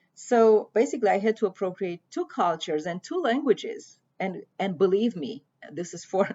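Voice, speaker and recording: A woman with a Romanian accent talks at a moderate pace and a medium pitch. Her intonation is lively, and her loudness swings widely. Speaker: poet and prose writer. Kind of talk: prepared talk on literature. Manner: halting.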